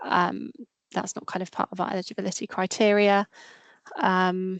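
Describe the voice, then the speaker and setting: A woman speaks at a medium pitch in a monotone, flat intonation. The sound is dry and close with no echo against a quiet background. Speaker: grant fund officer. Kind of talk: webinar Q&A. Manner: fast.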